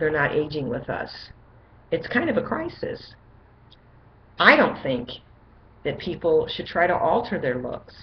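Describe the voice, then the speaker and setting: A woman at a fairly slow pace with long, frequent pauses and audible room echo. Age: 60s. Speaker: vlogger reviewing magazine articles. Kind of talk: casual monologue to webcam. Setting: webcam recording. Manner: conversational with some hesitations.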